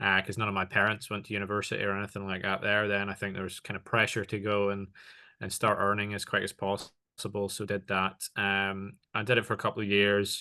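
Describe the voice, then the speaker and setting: Over a quiet background, a man with a bright, sharp tone and fairly low pitch talks at a fairly quick pace in a monotone, flat way. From Northern Ireland. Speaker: tech partnerships executive. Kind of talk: interview. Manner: many fillers and hesitations.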